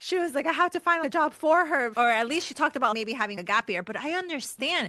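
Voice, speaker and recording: Very fast and raised to project, a woman's high, bright, sharp voice swings very widely in pitch, recorded dry and close with no echo. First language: not English. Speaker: podcast host and special education coach. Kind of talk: casual interview chat.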